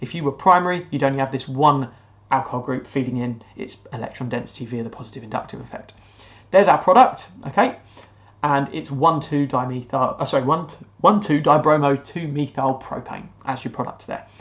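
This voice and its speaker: The speaker has a British accent and talks at a fairly quick pace. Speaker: chemistry teacher. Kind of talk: recorded lesson. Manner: fast.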